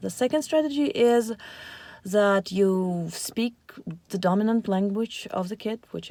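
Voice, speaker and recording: Her tone dark and mellow, a woman speaks at a fairly high pitch with ordinary pitch variation. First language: Russian and Ukrainian. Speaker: parenting vlogger. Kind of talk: casual talk to camera. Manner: hesitant, with filler words.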